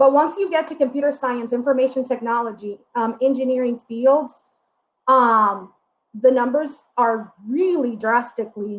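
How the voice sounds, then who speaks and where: Her pitch high, a woman speaks at a moderate pace with ordinary pitch variation. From Puerto Rico. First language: Spanish. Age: 30s. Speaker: diversity educator. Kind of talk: workshop presentation. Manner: hesitant, frequent fillers.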